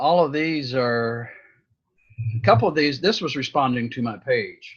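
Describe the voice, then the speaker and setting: The man has an unremarkable speaking voice at a fairly high pitch. He speaks at a fairly slow pace. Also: ordinary pitch variation. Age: 60s. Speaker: coaching client learning Facebook marketing. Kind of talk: coaching session, casual chat.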